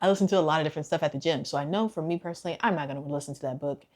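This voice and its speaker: Her tone animated, a woman speaks in a fairly low pitch with ordinary pitch variation. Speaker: lifestyle and self-improvement vlogger. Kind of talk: casual advice talk to camera. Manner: fast.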